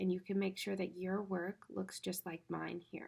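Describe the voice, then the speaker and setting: A woman talks at a moderate pace. Her voice sits at a medium pitch with a dark, mellow tone. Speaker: teacher. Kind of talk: tutorial. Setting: recorded at home. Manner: casual, friendly.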